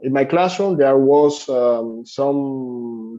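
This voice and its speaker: With a Spanish accent, a man speaks at a fairly high pitch. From Cuba. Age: 20s. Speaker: English teacher. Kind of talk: interview. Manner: halting, many fillers.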